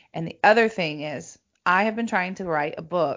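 In a normal speaking voice, a woman talks at a moderate pace with lively intonation. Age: 40s. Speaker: intuitive coach and podcast host. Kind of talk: casual chat.

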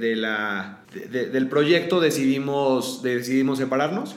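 A man speaks with a Mexican accent and a fairly high pitch for a man. The room echo is audible, and background noise is noticeable. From Mexico, León, Guanajuato. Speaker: founder of a boot brand. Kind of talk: interview. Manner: hesitant, many fillers.

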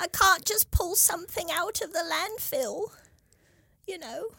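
An extremely high-pitched, put-on character voice. It moves at a moderate pace.

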